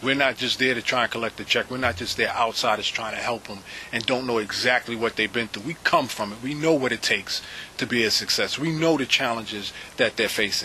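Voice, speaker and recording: A man with a New York accent at a medium pitch, speaking at a fairly quick pace with ordinary pitch variation over noticeable background noise. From South Bronx, New York. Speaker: nonprofit president. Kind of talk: interview answer.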